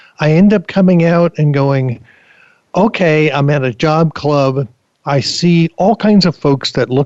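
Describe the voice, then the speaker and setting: A normal speaking voice with ordinary pitch variation, a fairly slow pace and very even loudness. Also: man. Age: 60s. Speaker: career coach and author. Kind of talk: interview.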